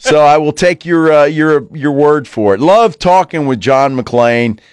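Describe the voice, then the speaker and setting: In a dry, close recording with no echo and a quiet background, a man with a fairly high pitch and lively intonation speaks in an unremarkable speaking voice. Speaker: radio sports talk host. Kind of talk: radio DJ patter, casual sports-talk banter with station ID plugs. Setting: studio. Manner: upbeat, chatty, easygoing.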